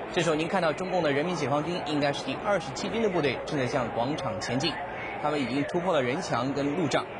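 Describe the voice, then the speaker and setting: Over noticeable background noise, a man speaks at a very fast pace in a serious tone, his pitch fairly high with ordinary variation. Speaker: TV news anchor. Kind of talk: 1989 Taiwanese TV newscast narration. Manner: formal, steady, measured news-anchor delivery; serious, gravely emphatic while describing the crackdown footage.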